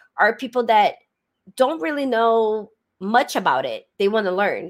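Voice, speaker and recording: A woman talks at a moderate pace in a Brazilian Portuguese accent with lively intonation. The recording is very clean, with a silent background. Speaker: crypto content creator. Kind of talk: interview.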